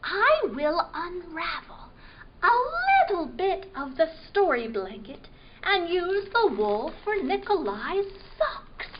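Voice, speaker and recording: A woman puts on a character voice at an extremely high pitch, with very wide pitch swings and a fairly slow pace. Background noise is clearly audible. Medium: read story. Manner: gentle, warm.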